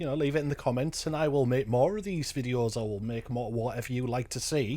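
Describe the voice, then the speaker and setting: A man speaks at a fairly quick pace with a northern English accent and lively intonation. His fairly high-pitched voice comes through on a very clean recording with a silent background. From northern England. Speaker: reaction youtuber. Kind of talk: casual reaction commentary.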